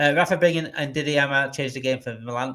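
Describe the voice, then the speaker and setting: On a very clean recording with a silent background, a man with a northern English accent talks very fast at a medium pitch, his intonation fairly even. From northern England. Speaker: football fan channel host. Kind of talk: live stream chat.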